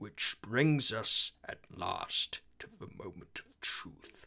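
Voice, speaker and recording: A put-on character voice whispers at a very slow pace. The loudness swings widely. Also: man. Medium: voice reel. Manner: slow, formal, detached.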